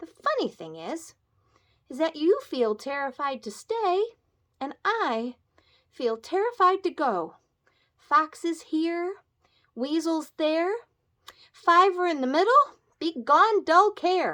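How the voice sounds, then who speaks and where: Using a put-on character voice, a woman projects a squeaky, raised voice at an extremely high pitch, moving at a fairly slow pace with long, frequent pauses on a very clean recording with a silent background. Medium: read story.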